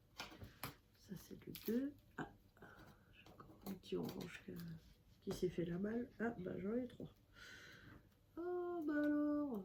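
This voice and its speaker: Speaking at a very slow pace with long, frequent pauses, a woman with a fairly high pitch and a dark, mellow, somewhat breathy tone swings widely in both pitch and loudness. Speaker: craft YouTuber. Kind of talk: casual crafting vlog. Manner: hesitant, many fillers.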